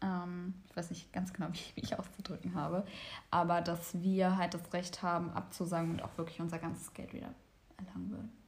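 Somewhat breathy and monotone, a woman talks at a fairly quick pace amid audible room echo. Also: fairly low pitch for a woman. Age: 20s. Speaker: podcast host, psychology student. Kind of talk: casual chat. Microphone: far from the microphone.

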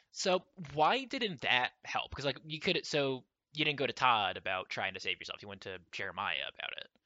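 At a moderate pace, a man with a fairly high voice and vocal fry makes very wide pitch swings and big swings in loudness. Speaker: podcast host. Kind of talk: casual interview.

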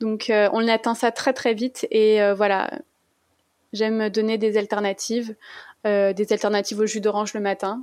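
At a fairly slow pace with long, frequent pauses, a woman speaks in a fairly high pitch and monotone, flat intonation. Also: very even loudness, very clean recording, silent background. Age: 30s. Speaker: low-GI food content creator. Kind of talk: interview.

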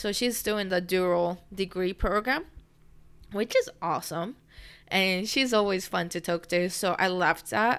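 A fairly slow voice in a Japanese accent, with ordinary pitch variation, on a very clean recording with a silent background. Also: woman, medium pitch for a woman. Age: 20s. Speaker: podcast host, university student. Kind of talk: casual monologue. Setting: home recording.

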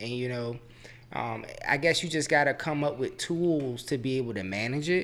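A man speaks in a Southern Virginia accent at a medium pitch. His pace is moderate and his pitch variation ordinary. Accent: Southern Virginia country. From Chesterfield, Virginia. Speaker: guest. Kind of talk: casual chat.

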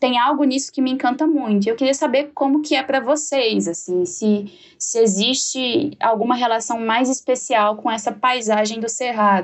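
Pitched high, a woman speaks at a moderate pace with hardly any pauses, ordinary pitch variation and very even loudness. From Jataí, Goiás, Brazil. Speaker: podcast host. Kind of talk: casual chat.

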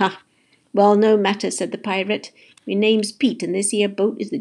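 An unforced reading voice over a quiet background

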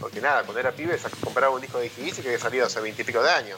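A man speaks in a Rioplatense accent. Noticeable background noise runs underneath. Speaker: podcast co-host. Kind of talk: casual chat.

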